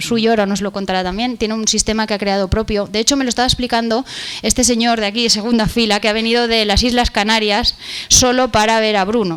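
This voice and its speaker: Fairly high-pitched woman with a Spanish accent, fairly quick pace and monotone, flat intonation, over noticeable background noise. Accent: Peninsular Spanish. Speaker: event moderator. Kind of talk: conference interview. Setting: stage with audience.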